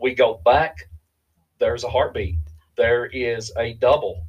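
A man speaks in an Appalachian accent at a medium pitch. His voice is somewhat breathy. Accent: Appalachian Kentucky. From US South, Eastern Kentucky. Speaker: bereaved father. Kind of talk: testimony.

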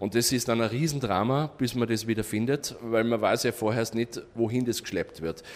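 Speaking in a plain, everyday voice, a man keeps a moderate pace with hardly any pauses. His pitch is medium with ordinary variation, and his loudness is very even. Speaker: tour operator. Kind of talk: interview.

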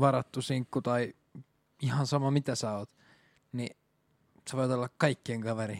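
A man speaks at a moderate pace with medium pitch and fairly even intonation. The sound is dry and close, with no echo. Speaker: podcast co-host. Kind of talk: casual chat.

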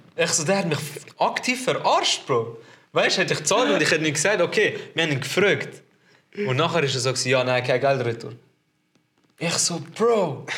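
Bright and sharp in tone, a fairly high-pitched man speaks at a moderate pace with lively intonation. His loudness stays very even, and he takes long, frequent pauses. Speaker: podcast host. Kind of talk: casual chat. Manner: animated, lots of laughter.

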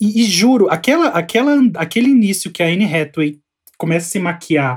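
A man speaks here. His pitch swings very widely. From São Paulo outskirts, Brazil. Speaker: podcast co-host. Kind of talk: casual chat.

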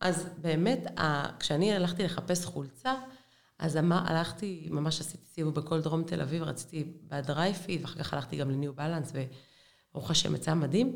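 Audible room echo surrounds a woman whose very deep, low pitch shows vocal fry and ordinary pitch variation. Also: moderate pace. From Israel, Beersheba. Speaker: women's running coach. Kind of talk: casual interview.

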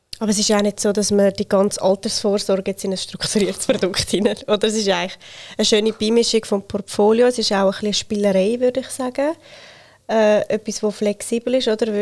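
Flat, monotone speech comes at a very fast pace in a dry, close sound with no echo. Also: woman, fairly high pitch for a woman. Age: 30s. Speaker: self-employed financial educator. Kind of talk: podcast interview.

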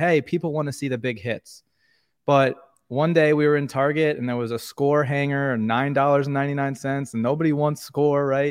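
Over a quiet background, a man with an unremarkable speaking voice and an American accent talks fairly quickly at a fairly high pitch with fairly even intonation. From New York. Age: 30s. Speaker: sports card content creator. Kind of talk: casual podcast interview.

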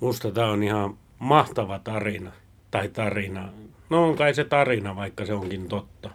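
A man with a normal speaking voice, fairly low-pitched, at a moderate pace with ordinary pitch variation. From Finland. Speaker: podcast host. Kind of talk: casual chat.

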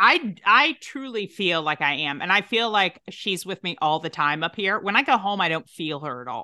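With a Tennessee accent, a woman speaks at medium pitch and a moderate pace, her pitch swinging very widely. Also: hardly any pauses. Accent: Southern US, Tennessee. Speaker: actress, writer and podcast producer. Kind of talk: casual chat.

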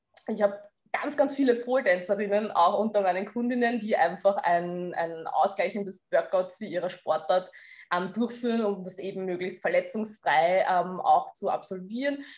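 A woman's plain, everyday voice at medium pitch and moderate pace, with ordinary pitch variation. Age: 30s. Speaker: fitness coach. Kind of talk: interview.

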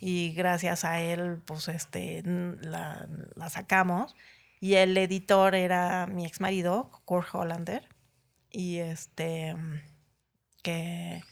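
Very slow, with long, frequent pauses, a woman talks at a fairly low pitch in a flat monotone with big swings in loudness on a very clean recording with a silent background. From Mexico City area (Ciudad Satélite), born in Chiapas. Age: 50s. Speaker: graphic designer. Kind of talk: casual interview.

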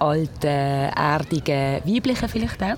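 Over noticeable background noise, a woman speaks very slowly in a very deep, low pitch. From Switzerland, Basel-Land (Pratteln). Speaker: radio presenter and nurse, runs a culture ship. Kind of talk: interview.

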